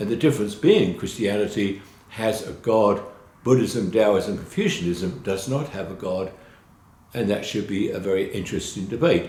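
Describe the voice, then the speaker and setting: Audible room echo carries a man's fairly low, dark and mellow voice, somewhat breathy. He talks at a fairly slow pace with ordinary pitch variation. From London, England. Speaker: college instructor. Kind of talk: course introduction lecture. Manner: informal, with filler hesitations.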